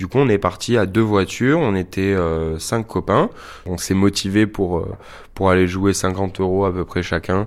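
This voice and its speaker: A man's very deep, low voice at a fairly slow pace, fairly even intonation, very clean recording with a silent background. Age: 30s. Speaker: casino witness. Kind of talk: testimony.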